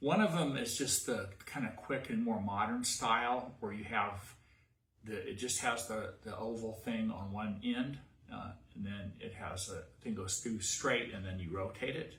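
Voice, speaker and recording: A man with a West Virginia accent, medium pitch, ordinary pitch variation and a fairly slow pace, with audible room echo. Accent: West Virginia, pin-pen merger. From US, West Virginia. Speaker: cosplay costume maker. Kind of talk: tutorial. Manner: casual, halting.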